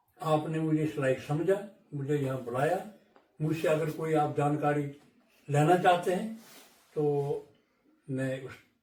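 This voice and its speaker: A man's fairly high voice with ordinary pitch variation, long, frequent pauses, and audible room echo. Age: 70s. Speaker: elder storyteller. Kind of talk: interview. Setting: studio.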